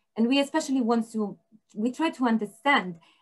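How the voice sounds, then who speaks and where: Her voice somewhat breathy, a woman moves at a fairly quick pace, her pitch varying in an ordinary way. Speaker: researcher. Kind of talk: panel discussion. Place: home room. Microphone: video call.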